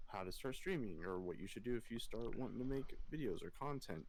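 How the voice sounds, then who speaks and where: A man mumbling at a fairly quick pace. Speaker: streamer and podcast host. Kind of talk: casual chat. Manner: stutters and mumbles.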